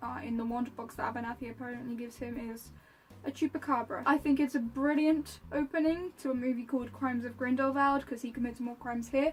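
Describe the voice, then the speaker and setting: Over noticeable background noise, a woman talks at a very fast pace. Her voice is high-pitched with fairly even intonation. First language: Polish. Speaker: YouTuber, film reviewer. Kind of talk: casual review monologue.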